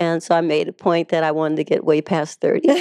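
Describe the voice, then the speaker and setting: A woman with an American accent and an ordinary speaking voice, fairly low in pitch, at a fairly quick pace, with a dry, close sound with no echo. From Los Angeles, US West Coast. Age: 60s. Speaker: artist. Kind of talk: interview.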